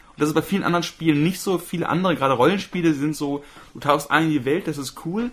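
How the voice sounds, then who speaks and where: At a very fast pace, a man speaks with ordinary pitch variation. His pitch is fairly high. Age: 30s. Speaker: podcast co-host. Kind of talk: casual chat.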